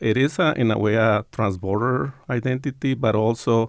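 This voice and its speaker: A man speaks in a plain, everyday voice at a moderate pace with fairly even intonation, the sound dry and close with no echo on a very clean recording with a silent background. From Tucson, Arizona and Sonora, Mexico border region. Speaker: professor. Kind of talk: interview.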